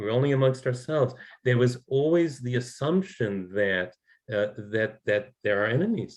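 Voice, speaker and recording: An American accent comes through. The speech moves at a moderate pace. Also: man, medium pitch for a man, lively intonation. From New York. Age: 60s. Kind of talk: talk show interview. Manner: halting, many repetitions and fillers.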